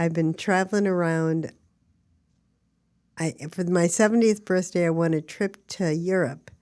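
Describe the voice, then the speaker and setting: On a very clean recording with a silent background, a woman with a dark, mellow tone and fairly low pitch speaks at a fairly slow pace with fairly even intonation and long, frequent pauses. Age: 70s. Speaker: actress and advocate. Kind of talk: casual interview.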